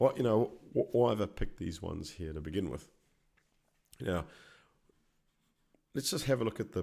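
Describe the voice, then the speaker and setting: A man speaks with an Australian accent and very wide pitch swings. He takes long, frequent pauses. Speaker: stock market educator. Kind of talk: live presentation tutorial. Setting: live stream.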